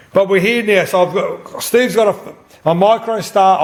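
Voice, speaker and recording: A man with an Australian accent speaks at a high pitch in an animated tone. Noticeable background noise runs underneath. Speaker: pinball and slot machine repairer. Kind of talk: casual chat. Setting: at a friend's place with people present.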